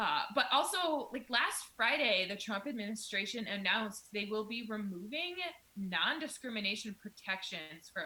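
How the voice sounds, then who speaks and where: With an Iowan accent, a woman speaks in a fairly high voice that makes very wide pitch swings. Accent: Midwestern, Iowan. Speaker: podcast co-host. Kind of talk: casual podcast chat.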